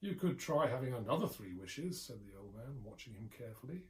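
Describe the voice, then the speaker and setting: A somewhat breathy male voice at a fairly quick pace. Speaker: anthology editor. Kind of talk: ghost story reading.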